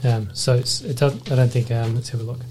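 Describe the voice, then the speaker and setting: A man with an Australian accent, in a monotone, flat intonation, over noticeable background noise. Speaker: anaesthetist podcast host. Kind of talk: casual professional discussion.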